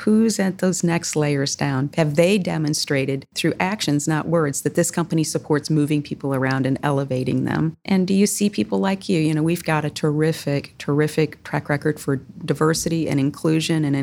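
Woman with a Midwestern US accent, very deep, low pitch, ordinary pitch variation, very even loudness, hardly any pauses, and a fairly quick pace. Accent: US Midwest. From US Midwest (Southwest Michigan). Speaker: corporate executive. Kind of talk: interview.

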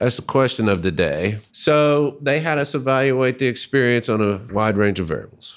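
A man in an unremarkable speaking voice with an American accent talks at medium pitch and a moderate pace, with lively intonation and hardly any pauses, on a very clean recording with a silent background. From US South, Little Rock, Arkansas. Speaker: user experience researcher. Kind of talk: casual chat. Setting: studio.

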